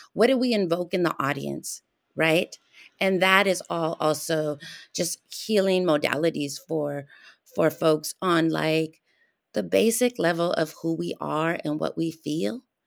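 Lively intonation and a fairly slow pace mark a normal speaking voice with an American accent. The recording is very clean, with a silent background. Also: woman, fairly low pitch for a woman. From Arizona. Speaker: theater artist. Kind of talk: casual chat.

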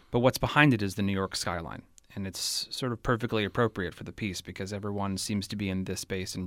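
A man with a West Coast American accent speaks fairly quickly, his fairly low voice keeping a fairly even intonation. The recording is very clean, with a silent background. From California, Bay Area. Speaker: theater director. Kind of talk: interview.

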